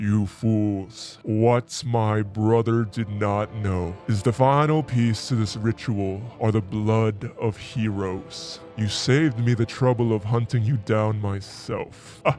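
A man at medium pitch, fairly slow pace and fairly even intonation, with hardly any pauses and clear music in the background. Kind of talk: villain monologue. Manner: menacing, grandiose.

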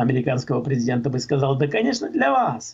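Vocal fry runs through this man's speech. His pitch swings very widely, and the background is quiet. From Czech Republic. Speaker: political commentator. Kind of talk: radio talk show discussion. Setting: phone call. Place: home room. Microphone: video call.

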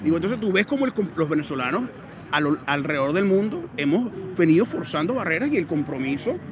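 A man speaks fairly quickly at a high pitch, with very wide pitch swings. The sound is dry with no echo, though there is noticeable background noise. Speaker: activist. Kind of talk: interview answer at rally. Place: street. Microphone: handheld.

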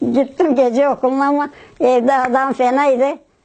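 Noticeable background noise surrounds a woman speaking fairly slowly. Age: 80s+. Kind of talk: interview answer.

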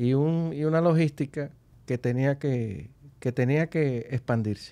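Very slow pace and lively intonation from a man with a fairly high pitch. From Dominican Republic, Santo Domingo; Dominican Republic. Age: 50s. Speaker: business executive; guest. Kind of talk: interview. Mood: calm, reflective. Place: studio. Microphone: studio mic.

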